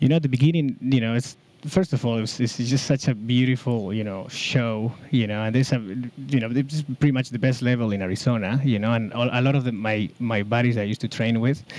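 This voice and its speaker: A man with a Spanish accent speaks at a fairly quick pace and medium pitch, with fairly even intonation and hardly any pauses. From Basque Country, Spain. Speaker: pickleball player and tennis coach. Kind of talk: podcast interview. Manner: halting, many fillers.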